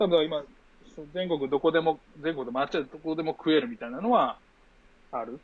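This man's fairly high voice moves at a fairly quick pace with lively intonation, big swings in loudness, and long, frequent pauses. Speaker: former exchange student in China. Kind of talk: casual chat.

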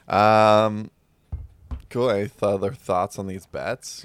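The recording of this man is dry and close, with no echo, and music plays behind him. His pitch sits fairly low. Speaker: podcast co-host. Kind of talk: casual chat.

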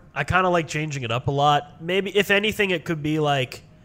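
Using ordinary pitch variation and an unremarkable speaking voice, a man talks at a moderate pace in a fairly high register. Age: 20s. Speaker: film student, podcaster. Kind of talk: casual chat. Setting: video call.

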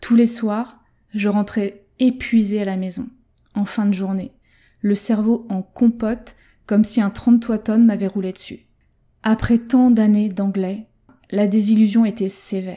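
Her voice is somewhat breathy, with a dark, mellow tone and fairly high pitch, as this woman talks at a fairly slow pace in a monotone, flat intonation with long, frequent pauses. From France. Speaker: language learning coach. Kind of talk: solo podcast monologue.

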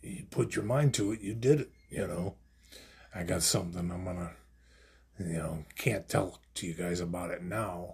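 A man with a very deep, low, somewhat breathy voice talks at a moderate pace with ordinary pitch variation. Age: 40s. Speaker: podcast host. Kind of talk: casual monologue. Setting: home studio.

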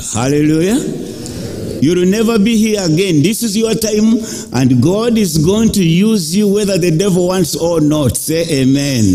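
A man's high voice at a moderate pace, with lively intonation and noticeable background noise. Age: 60s. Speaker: preacher. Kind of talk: sermon with congregation call-and-response. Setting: church. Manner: animated; emphatic, rhythmic, urging.

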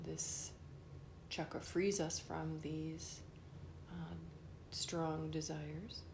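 Very slow speech from a woman in a gentle, calm tone, over noticeable background noise. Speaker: meditation teacher. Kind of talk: guided meditation. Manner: slow, calm, soft-spoken; gentle, measured with long silent pauses.

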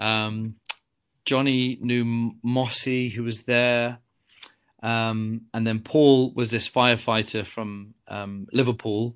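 A man at a medium pitch, talking very slowly in a flat monotone. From England, Coventry. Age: 50s. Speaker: triathlete and business owner. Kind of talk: casual interview chat. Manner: halting, many fillers and repetitions.

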